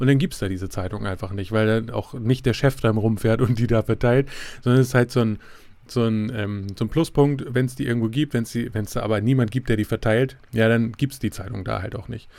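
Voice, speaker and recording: A man's medium-pitched voice, fairly quick in pace and fairly even in intonation, on a very clean recording with a silent background. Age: 30s. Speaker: podcaster. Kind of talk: solo podcast monologue. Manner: halting, many fillers.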